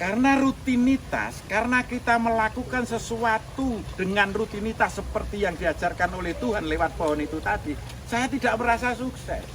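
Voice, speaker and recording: The speech moves at a moderate pace with hardly any pauses and ordinary pitch variation. Noticeable background noise runs underneath. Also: man, high pitch for a man. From Central Java, Klaten. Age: 60s. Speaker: village tourism founder. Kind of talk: interview.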